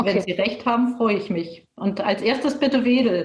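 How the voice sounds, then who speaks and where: With ordinary pitch variation and a moderate pace, the clip presents an unremarkable speaking voice. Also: woman. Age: 30s. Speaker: politician. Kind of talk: panel discussion.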